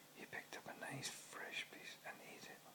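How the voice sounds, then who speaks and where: Whispering at a fairly slow pace, a man is heard over noticeable background noise. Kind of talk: audiobook-style reading of a short book, whispered. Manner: whispered.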